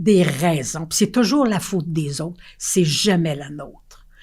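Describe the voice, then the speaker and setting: A woman with a Quebec accent, her pitch fairly low and her tone dark and mellow. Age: 80s+. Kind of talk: interview answer. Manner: energetic, frank.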